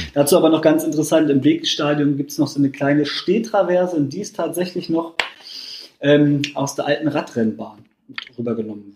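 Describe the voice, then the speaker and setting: Fairly quick and fairly high, a man's voice carries ordinary pitch variation. His loudness rises and falls in big swings. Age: 20s. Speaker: football fan. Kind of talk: casual chat. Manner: halting.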